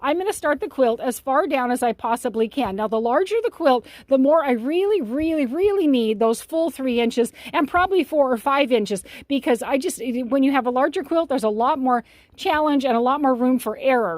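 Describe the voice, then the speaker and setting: Lively intonation at a fairly quick pace. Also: woman. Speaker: longarm quilter. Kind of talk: tutorial. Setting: quilting studio. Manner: fast; halting.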